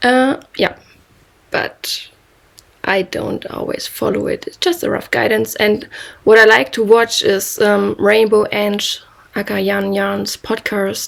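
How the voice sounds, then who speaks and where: With a German accent, a woman speaks at a very slow pace. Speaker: knitting podcaster. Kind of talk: casual monologue. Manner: halting.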